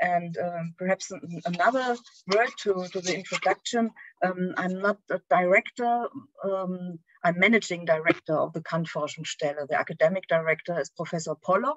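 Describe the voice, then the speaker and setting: A woman speaks with a German accent. The sound is dry and close, with no echo. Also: medium pitch for a woman, ordinary pitch variation, moderate pace. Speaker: philosophy scholar. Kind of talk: academic lecture. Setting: video call. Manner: halting.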